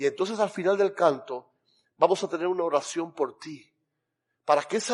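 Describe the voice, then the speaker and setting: An animated, high-pitched man with a Cuban accent, ordinary pitch variation and a quiet background. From Cuba, Camagüey. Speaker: pastor. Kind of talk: sermon. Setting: church.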